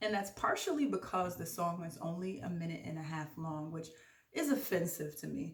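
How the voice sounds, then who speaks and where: In an animated tone, a woman speaks at a fairly low pitch with ordinary pitch variation. Her somewhat breathy voice comes with audible room echo. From Jamaican from Brooklyn, New York. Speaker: podcast host. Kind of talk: casual vlog monologue. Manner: fast.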